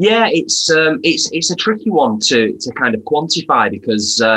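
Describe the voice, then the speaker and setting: A man speaks with a Lancashire accent. His pace is fairly slow. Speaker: vegan content creator. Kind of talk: casual interview chat.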